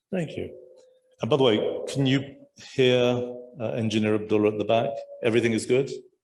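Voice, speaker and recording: This man talks at a fairly quick pace with medium pitch and ordinary pitch variation. His speech has long, frequent pauses, and the room echo is audible. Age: old. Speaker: panel moderator. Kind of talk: moderated panel discussion. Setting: stage with audience.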